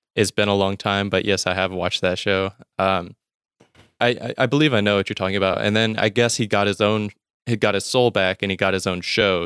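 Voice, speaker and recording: Speaking at a fairly quick pace with a Southern US accent, a man with a fairly low pitch keeps his intonation fairly even, in a dry, close sound with no echo on a very clean recording with a silent background. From US South, Mississippi. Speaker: podcaster. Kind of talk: casual chat.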